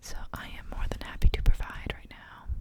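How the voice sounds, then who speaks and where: Whispering at a moderate pace in a relaxed tone, with noticeable background noise. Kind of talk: ASMR gaming commentary to camera, casual rambling. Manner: whispered, soft-spoken, relaxed.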